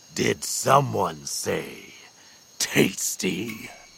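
A man's growling, put-on character voice at a very deep, low pitch

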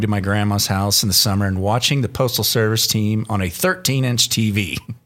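Noticeable background noise sits behind a man with a fairly low-pitched voice. He talks very fast, with hardly any pauses. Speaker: podcast co-host and producer. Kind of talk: casual banter podcast.

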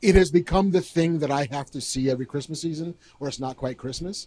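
This man speaks at a moderate pace in a fairly high, somewhat breathy voice with ordinary pitch variation. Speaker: podcast co-host. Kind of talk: live podcast chat. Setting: stage with audience.

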